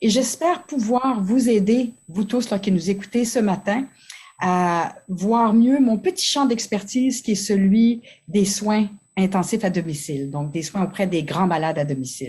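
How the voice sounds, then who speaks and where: Dark and mellow in tone and somewhat breathy, a woman speaks at a medium pitch and fairly slow pace with lively intonation on a very clean recording with a silent background. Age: 60s. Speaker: family physician. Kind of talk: conference talk. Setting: conference.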